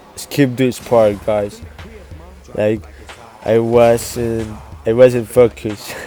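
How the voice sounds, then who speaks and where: A man with a non-native accent speaks very slowly at a medium pitch, with fairly even intonation. He leaves long, frequent pauses while music plays in the background. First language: Spanish. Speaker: gaming youtuber. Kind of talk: gameplay commentary. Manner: halting.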